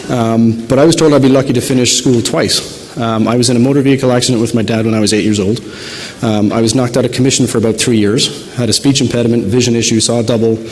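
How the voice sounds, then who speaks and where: A man with an Irish accent talks at a very fast pace and very even loudness. Noticeable background noise and audible room echo fill the recording. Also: medium pitch for a man. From southern Ireland. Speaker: optometrist and researcher. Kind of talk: conference lecture. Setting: stage with audience, PA system. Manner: soft-spoken. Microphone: too quiet at first, volume adjusted.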